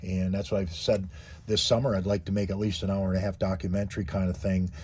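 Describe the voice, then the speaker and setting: Speaking at a fairly quick pace, a man with a very deep, low pitch sounds somewhat breathy, his intonation fairly even. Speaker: YouTuber living in a converted bus. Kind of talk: tutorial. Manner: halting, many fillers and repeats.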